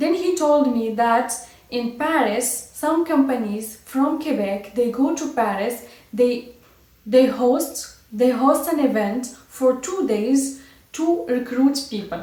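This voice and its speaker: Very slowly, a woman speaks at a high pitch with ordinary pitch variation. Audible room echo and noticeable background noise fill the recording. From Morocco, Casablanca. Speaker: vlogger. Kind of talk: personal story. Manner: halting.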